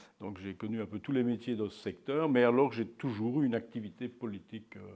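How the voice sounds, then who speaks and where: Here a man's voice sits at a medium pitch. He keeps a moderate tempo, and his pitch varies in an ordinary way. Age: 60s. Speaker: local politician. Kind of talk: interview. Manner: hesitant, many fillers.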